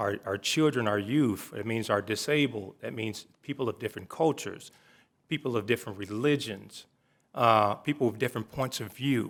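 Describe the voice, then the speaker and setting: Medium-pitched male speech at a moderate pace with ordinary pitch variation, on a very clean recording with a silent background. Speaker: city commissioner, Navy veteran. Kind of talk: public meeting remarks.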